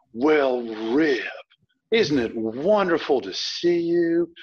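A man performs a put-on character voice in a strong Southern US accent, fairly high in pitch with lively intonation and a very slow pace. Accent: deep Southern drawl. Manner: warm, welcoming.

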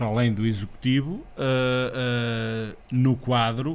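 The speaker talks at a very slow pace with fairly even intonation, in a European Portuguese accent. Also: man. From central Portugal. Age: 40s. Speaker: local election candidate; election candidate. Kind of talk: casual interview. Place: studio. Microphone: studio mic.

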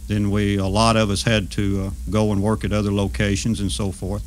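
Someone with a Southern US accent talks over music in the background. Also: man. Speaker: retired railroad worker. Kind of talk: oral history storytelling.

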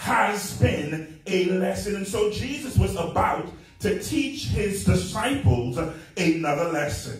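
A man speaks at a very slow pace, with faint music in the background and audible room echo. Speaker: preacher. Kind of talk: sermon. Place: church.

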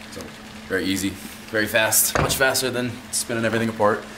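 There is noticeable background noise. A man talks at a fairly quick pace with ordinary pitch variation. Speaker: fitness coach. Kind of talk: casual tour explanation. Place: gym.

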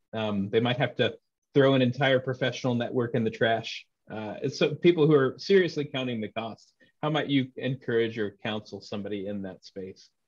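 A man speaks at a moderate pace in an American accent, his pitch medium with ordinary variation. The background is quiet. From Texas. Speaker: interviewer, former Anglican priest. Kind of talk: interview. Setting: video call. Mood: thoughtful, friendly. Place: home room. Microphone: video call.

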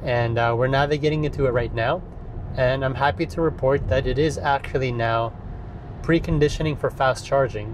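Medium pitch from a man, fairly even intonation, clear background noise

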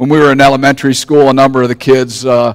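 A man's voice comes through over a quiet background. His intonation is monotone and flat. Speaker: pastor. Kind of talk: sermon. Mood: calm, anecdotal. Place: church.

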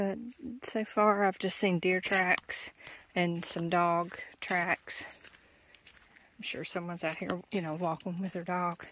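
Speaking at a fairly slow pace with long, frequent pauses, a woman keeps a monotone, flat intonation, with light background noise and a dry sound with no echo. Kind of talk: casual vlog chat. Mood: calm, reflective. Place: forest. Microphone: phone near.

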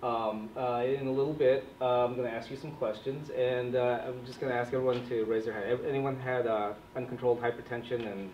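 A man's voice with fairly even intonation, light background noise and audible room echo. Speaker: physician trainer. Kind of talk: lecture. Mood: light, self-deprecating humor. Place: classroom. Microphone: camera far.

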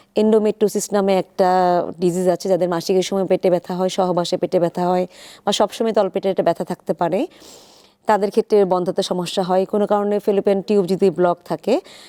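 On a very clean recording with a silent background, a woman speaks in a medium-pitched, dark, mellow tone, monotone and flat, at very even loudness. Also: dry, close sound with no echo. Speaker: infertility specialist doctor. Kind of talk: expert interview on live TV.

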